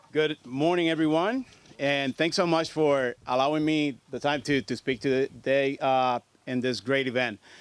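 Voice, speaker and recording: In a dry, close sound with no echo, a man with a Puerto Rican accent speaks fairly slowly at a fairly high pitch with fairly even intonation. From Puerto Rico. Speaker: federal agency state director. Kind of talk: press conference speech. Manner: halting.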